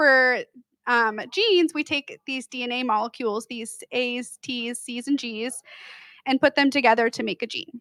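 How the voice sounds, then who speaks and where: A woman with a high-pitched, bright, sharp tone speaks at a moderate pace, with ordinary pitch variation, big swings in loudness, and a dry, close sound with no echo. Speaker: genetic counselor. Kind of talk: lecture. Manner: soft-spoken.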